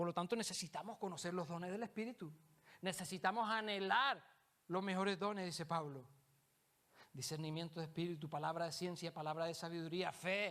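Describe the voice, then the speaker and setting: Bright and sharp in tone, a man's voice sits high in pitch. He moves at a fairly quick pace with ordinary pitch variation. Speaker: preacher. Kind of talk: sermon. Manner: fast; halting repetitions.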